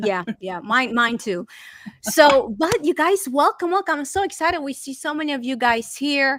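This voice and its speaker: Lively in intonation and bright and sharp in tone, a woman speaks with a Romanian accent. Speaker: talk show host. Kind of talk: online interview show. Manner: animated.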